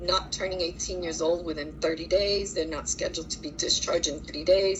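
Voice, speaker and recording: Moderate pace from a woman amid noticeable background noise. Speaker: social services worker. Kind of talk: work review monologue. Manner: direct.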